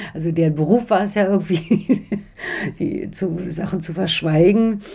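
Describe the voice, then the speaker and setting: A woman speaks at a moderate pace with a fairly low pitch and ordinary pitch variation. Noticeable background noise runs under her voice. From East Berlin, Germany. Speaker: author. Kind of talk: interview. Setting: in Strasbourg. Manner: hesitant, many fillers.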